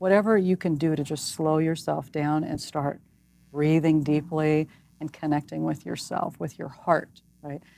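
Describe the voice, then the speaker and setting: Her tone dark and mellow, a woman speaks with a very deep, low pitch and fairly even intonation. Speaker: psychologist and author. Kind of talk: interview. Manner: fast.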